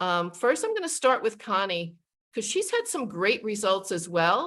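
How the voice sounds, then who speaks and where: A woman with an unremarkable speaking voice and medium pitch speaks at a moderate pace with lively intonation. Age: 60s. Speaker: sales team leader. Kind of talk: video call presentation.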